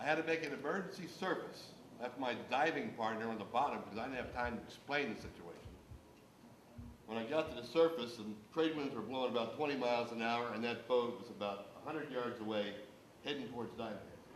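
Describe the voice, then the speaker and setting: A man talks at a very fast pace in a medium pitch with ordinary pitch variation, with audible room echo and noticeable background noise. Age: 60s. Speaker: diver and boat owner speaking at town hall. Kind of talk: public comment at town hall meeting. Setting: town hall meeting.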